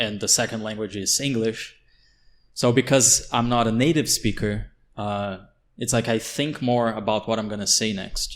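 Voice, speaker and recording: The speaker has a Portuguese accent, a moderate pace and fairly even intonation. The recording is very clean, with a silent background. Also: man, medium pitch for a man. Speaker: podcast co-host. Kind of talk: casual chat.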